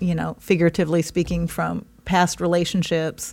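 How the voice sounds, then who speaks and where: The woman speaks with a fairly low pitch. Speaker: podcast co-host. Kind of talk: casual chat. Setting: studio. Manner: laughs often.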